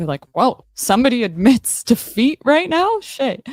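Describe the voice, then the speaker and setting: In a dry, close recording with no echo, a woman talks in an animated tone with very wide pitch swings. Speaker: livestreamer and political commentator. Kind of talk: casual livestream chat reading comments.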